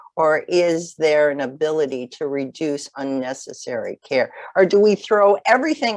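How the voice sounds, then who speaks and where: A woman with an American accent talks at a moderate pace with lively intonation and a fairly low pitch, in a dry, close sound with no echo. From Chicago. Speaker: nurse case manager, webinar presenter. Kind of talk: webinar lecture. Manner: hesitant, many fillers.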